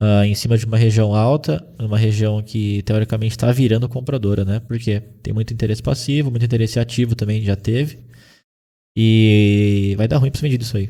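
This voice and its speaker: A dark, mellow tone with fairly even intonation at a fairly quick pace. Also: man, medium pitch for a man, very clean recording, silent background. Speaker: day trading instructor. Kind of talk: live trading class. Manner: fast.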